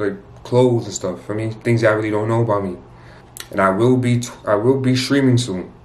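The speech moves at a fairly quick pace with ordinary pitch variation, and audible room echo surrounds it. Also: man. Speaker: prank video creator. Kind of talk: casual vlog chat. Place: home room. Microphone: phone near.

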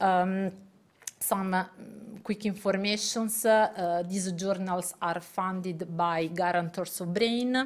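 Speaking at a very slow pace, a woman keeps a fairly even intonation. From Italy. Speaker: neuroscientist and journal editor; guest. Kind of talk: lecture. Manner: halting. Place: hall.

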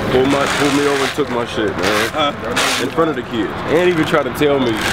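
Against loud background noise, a man with an American accent talks at a fairly quick pace. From Columbia, Missouri. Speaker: event organizer. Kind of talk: casual chat. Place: street.

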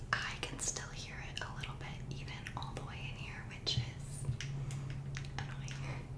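Amid loud background noise, a woman keeps to a moderate pace. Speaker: ASMR creator. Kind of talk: soft-spoken casual chat. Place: bathroom.

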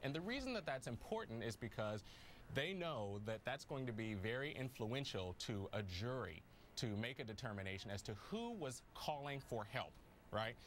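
A man with lively intonation at a moderate pace over light background noise. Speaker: news guest. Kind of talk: interview answer. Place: studio.

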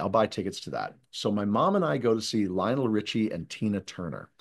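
A man talks at a moderate speed. Little noise sits behind him. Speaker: guest, speaker. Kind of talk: interview answer. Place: home room. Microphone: video call.

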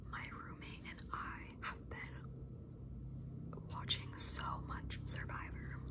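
Very slowly, a woman whispers. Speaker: ASMR creator. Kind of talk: casual ramble to camera. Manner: whispered, soft-spoken. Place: home room. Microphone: phone near.

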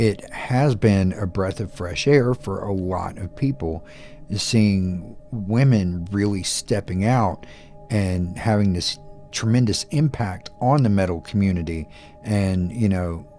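Faint music plays in the background as a man speaks at a fairly slow pace and fairly low pitch with ordinary pitch variation. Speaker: music reaction youtuber. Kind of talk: commentary. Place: home room. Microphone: studio mic.

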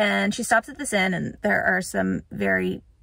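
The speech comes at a fairly slow pace, dry with no echo, over a quiet background. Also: woman. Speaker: book vlogger. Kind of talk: casual vlog chat. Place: car. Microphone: phone near.

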